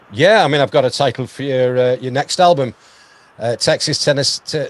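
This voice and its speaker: Someone with a British accent speaks in a dry, close sound with no echo. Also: man. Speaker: radio host. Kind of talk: interview.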